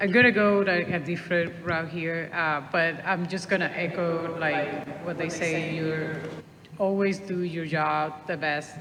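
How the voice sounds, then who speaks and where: In a Puerto Rican accent, a woman speaks at a fairly low pitch and fairly slow pace with fairly even intonation, with audible room echo and noticeable background noise. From Puerto Rico. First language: Spanish. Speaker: traffic engineer. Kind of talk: panel discussion.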